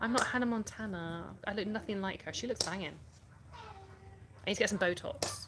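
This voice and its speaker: Bright and sharp in tone, a woman talks in a Yorkshire accent. She keeps a moderate pace. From Yorkshire, England. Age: 30s. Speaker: livestreamer. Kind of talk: casual chat. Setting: live stream. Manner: chatty.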